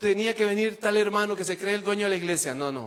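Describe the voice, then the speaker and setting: Talking at a very fast pace, a man with a Costa Rican accent has a high pitch, and noticeable background noise runs under his voice. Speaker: preacher and psychologist. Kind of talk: sermon.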